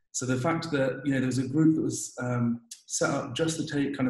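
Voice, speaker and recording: A man speaks in a monotone, flat intonation. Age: 20s. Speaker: dentist. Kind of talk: interview.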